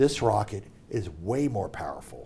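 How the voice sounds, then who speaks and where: This man has a dark, mellow tone, a medium pitch and vocal fry, with very wide pitch swings. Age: 60s. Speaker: middle school teacher, former NASA worker. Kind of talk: casual chat. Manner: animated.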